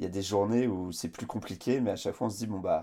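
In a very clean recording with a silent background, a man with a dark, mellow tone and fairly low pitch speaks at a fairly quick pace with fairly even intonation. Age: 30s. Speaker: adventurer, author and speaker. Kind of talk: interview. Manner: halting, many repetitions and fillers.

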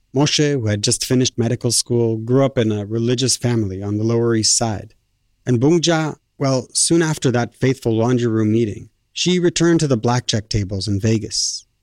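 A man talks in a normal speaking voice at medium pitch, with ordinary pitch variation and very even loudness. The very clean recording has a silent background and a dry, close sound with no echo. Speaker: radio reporter and narrator. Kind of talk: narrated documentary and interview.

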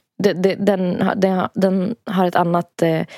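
Recorded with a dry, close sound and no echo, a woman talks at a medium pitch in a dark, mellow tone. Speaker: podcast co-host. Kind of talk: casual chat. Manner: giggly.

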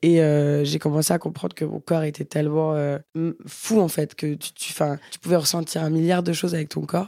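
A woman with a very deep, low pitch and a dark, mellow tone speaks at a moderate pace in monotone, flat intonation, on a very clean recording with a silent background. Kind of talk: casual chat.

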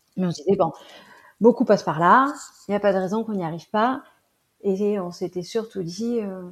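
A woman's medium-pitched voice at a moderate pace, with ordinary pitch variation and long, frequent pauses, on a very clean recording with a silent background. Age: 30s. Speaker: mother. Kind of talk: interview testimony. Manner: hesitant with fillers.

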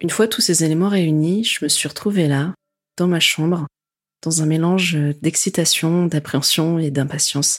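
In an unremarkable speaking voice, a woman talks at a moderate pace with a fairly low pitch. Her intonation is fairly even and her loudness very even. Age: 20s. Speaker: podcast host. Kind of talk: personal narration.

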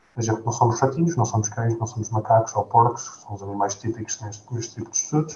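A man talks at a very fast pace with a medium pitch. Noticeable background noise runs behind him. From Portugal, Gouveia (Guarda district). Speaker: postdoctoral researcher, bioengineer. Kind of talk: interview. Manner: hesitant, repeats words.

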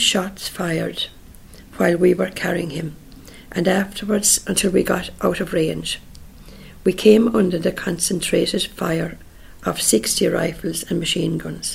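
Speaking at a fairly slow pace, a woman talks with a Munster accent. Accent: Irish, Munster. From Ireland, County Tipperary. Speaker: relative recalling family history. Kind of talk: oral history interview. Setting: interviewee's home in Killarney.

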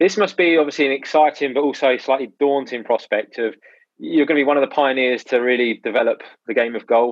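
Very fast delivery with ordinary pitch variation. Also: man, fairly high pitch for a man. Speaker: podcast co-host. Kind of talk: casual interview.

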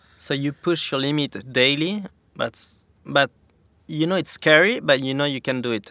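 A man with a French accent talks at a moderate pace with ordinary pitch variation. The recording is very clean with a silent background, and the sound is dry and close with no echo. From France, Pyrenees. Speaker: professional snowboarder. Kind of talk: interview. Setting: studio.

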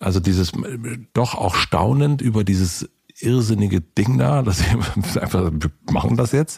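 Very wide pitch swings in a somewhat breathy voice. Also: man. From East Berlin, former GDR. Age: 40s. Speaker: podcast host. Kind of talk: casual chat.

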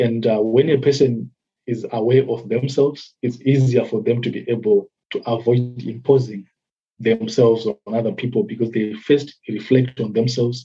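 Backed by music, a man speaks at a medium pitch with fairly even intonation. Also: moderate pace. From Zimbabwe. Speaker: development worker. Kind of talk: interview. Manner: hesitant, many fillers.

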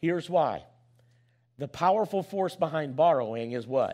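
This man speaks with an American accent. His pitch is fairly high. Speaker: pastor. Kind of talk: sermon to a congregation, rallying and persuasive with call-and-response questions. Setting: church.

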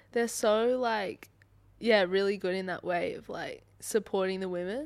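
With ordinary pitch variation and medium pitch, a woman speaks at a moderate pace on a very clean recording with a silent background. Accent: Australian. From Sydney, Australia. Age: 20s. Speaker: professional footballer. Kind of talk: casual chat.

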